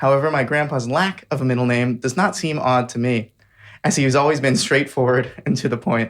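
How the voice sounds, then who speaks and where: Music plays in the background as a man speaks. He talks at a fairly quick pace and a medium pitch. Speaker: podcast host, medical student. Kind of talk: podcast intro read.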